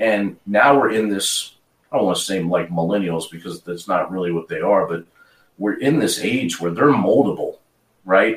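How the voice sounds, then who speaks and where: Speaking at a moderate pace, a man uses a normal speaking voice with a fairly low pitch and ordinary pitch variation. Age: 40s. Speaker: pool apparel business owner and event promoter. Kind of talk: casual interview.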